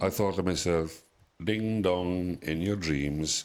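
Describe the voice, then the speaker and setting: A man with a British accent speaks at a very slow pace, his pitch very deep and low. His intonation is fairly even, and the recording is very clean with a silent background. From UK. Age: 60s. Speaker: expat interviewee. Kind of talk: interview storytelling.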